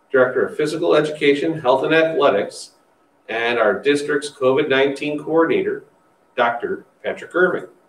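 Audible room echo surrounds the voice. A man talks at a moderate pace. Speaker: school district leader hosting forum. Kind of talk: formal announcement. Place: meeting room. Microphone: podium.

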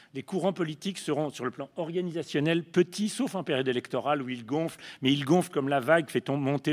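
A man with a fairly high pitch, ordinary pitch variation and a very fast pace, in a very clean recording with a silent background. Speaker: panelist, left-wing activist. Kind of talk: panel talk. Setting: conference panel with audience.

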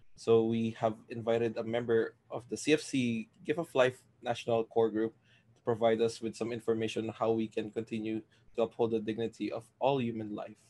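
Here a man speaks at a medium pitch, his tone dark and mellow. His intonation is monotone and flat. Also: moderate pace. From US, Florida. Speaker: workshop facilitator. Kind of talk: event hosting. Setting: video call. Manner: casual, hesitant with fillers.

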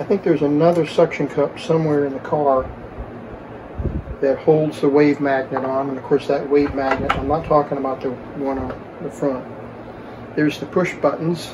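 Against noticeable background noise, a man's fairly even intonation holds at a moderate pace. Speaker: radio repair hobbyist. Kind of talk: tutorial. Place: workshop.

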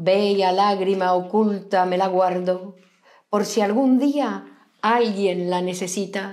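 Against a quiet background, a woman at medium pitch delivers her lines in a dramatic tone at a very slow pace. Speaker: poetry reader. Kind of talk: poetry reading, read aloud live. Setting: live stream. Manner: slow, emotive, dramatic delivery. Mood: expressive, lyrical. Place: home room. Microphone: lapel.

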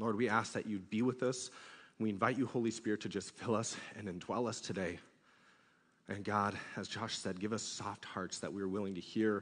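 A man talks in an unremarkable speaking voice, fairly low in pitch, at a fairly quick pace with fairly even intonation. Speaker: youth pastor. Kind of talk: sermon. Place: church. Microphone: headset.

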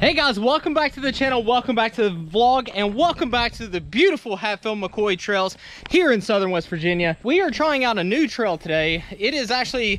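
A man speaks at a fairly quick pace with hardly any pauses, his high voice swinging very widely in pitch. The recording is dry, with no echo. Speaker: trail riding vlogger. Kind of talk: casual vlog chat. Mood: upbeat, slightly nervous. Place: open country. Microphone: phone near.

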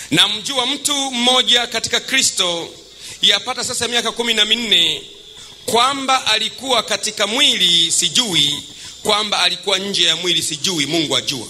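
With light background noise behind him, a man uses a raised, projected voice at a moderate pace with ordinary pitch variation. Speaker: preacher. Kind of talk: sermon. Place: church. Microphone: handheld.

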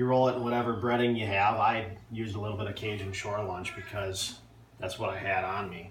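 A man speaks at a fairly quick pace in a fairly low pitch, his intonation fairly even, with audible room echo and light background noise. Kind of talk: casual cooking tutorial. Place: kitchen. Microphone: phone near.

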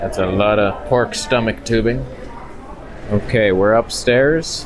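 Slow pace over faint background noise. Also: man.

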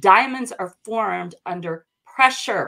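A woman's animated voice at a medium pitch, with an American accent, ordinary pitch variation and a quiet background. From US South, North Carolina. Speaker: brand coach. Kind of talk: casual interview. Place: office. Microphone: video call.

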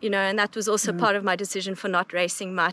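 A woman speaks with monotone, flat intonation in a dry sound with no echo, light background noise behind her. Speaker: mountain guide. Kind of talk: interview answer. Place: open country.

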